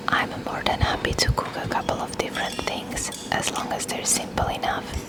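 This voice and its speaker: The voice is a whisper. Background noise is noticeable behind it. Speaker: parent. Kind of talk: whispered ASMR vlog narration. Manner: whispered.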